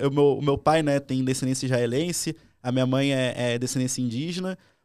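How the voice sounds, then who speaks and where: On a very clean recording with a silent background, a man with a fairly high pitch and an unremarkable speaking voice talks at a moderate pace with fairly even intonation. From Brazil, Rio de Janeiro (Leme area). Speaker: penetration tester. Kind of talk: casual interview. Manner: informal slang-heavy.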